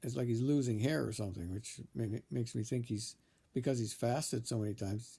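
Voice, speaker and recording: At a moderate pace, a man talks in a dark, mellow, somewhat breathy tone with ordinary pitch variation, recorded very cleanly against a silent background. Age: 60s. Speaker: vlogger documenting his fast. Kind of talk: casual video monologue. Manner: halting, many restarts and fillers.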